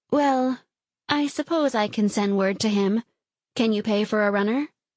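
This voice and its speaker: A woman's put-on character voice, fairly high-pitched, at a very even loudness. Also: moderate pace. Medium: read story.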